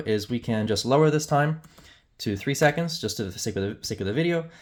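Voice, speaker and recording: A man speaks with ordinary pitch variation on a very clean recording against a silent background. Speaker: software demonstrator. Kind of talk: tutorial. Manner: fast; casual with many fillers.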